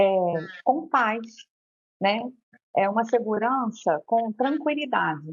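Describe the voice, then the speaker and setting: Her voice is somewhat breathy, and the woman speaks at a fairly high pitch. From Rio de Janeiro, Brazil. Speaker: lawyer. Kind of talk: interview.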